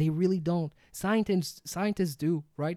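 This man has a dark, mellow tone, a high pitch, and a non-native accent, speaking at a moderate pace. The sound is dry and close with no echo, on a very clean recording with a silent background. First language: not English. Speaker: podcast co-host. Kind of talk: casual chat. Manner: animated.

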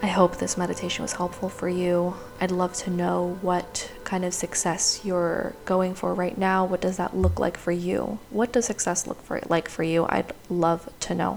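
A woman talks with a fairly low pitch and fairly even intonation, hardly pausing at all. Noticeable background noise runs underneath. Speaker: meditation teacher. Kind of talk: guided meditation, slow breath-cued visualization instructions. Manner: soft, unhurried, soothing pacing with pauses for breathing; warm, affirming, gently encouraging tone.

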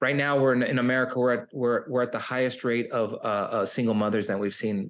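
A man with an unremarkable speaking voice talks at a fairly quick pace and medium pitch. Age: 50s. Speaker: recovery coach. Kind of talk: interview.

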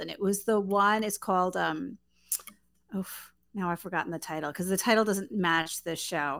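A woman's bright, sharp, medium-pitched voice with an American accent and lively intonation. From Queens, New York. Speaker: author and writing professor. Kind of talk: interview. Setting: video call. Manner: halting.

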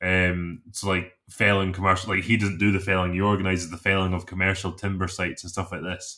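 In a Scottish accent, a man with a very deep, low pitch and a bright, sharp tone talks fairly quickly in a flat monotone with hardly any pauses. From south of Scotland. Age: 20s. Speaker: chainsaw carver. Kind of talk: casual interview. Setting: remote call.

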